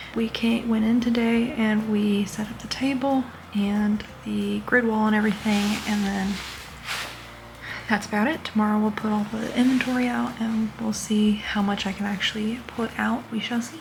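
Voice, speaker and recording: Monotone, flat intonation at a moderate pace comes through audible room echo and noticeable background noise. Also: woman, fairly high pitch for a woman. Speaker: crochet vlogger and plush maker. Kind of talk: casual vlog. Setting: hotel room. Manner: quiet, hushed talking.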